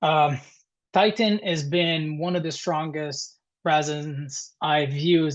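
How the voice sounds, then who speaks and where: In an Italian accent, a man speaks at a fairly high pitch. His intonation is fairly even, and the background is quiet. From Italy (Perugia). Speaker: dental lab technician. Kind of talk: webinar presentation. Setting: webinar. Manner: halting.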